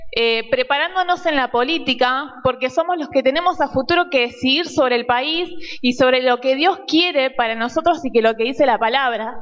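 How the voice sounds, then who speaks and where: Against noticeable background noise, a woman speaks at a high pitch and a moderate pace, with ordinary pitch variation. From Argentina. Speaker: youth leader. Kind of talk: audience question.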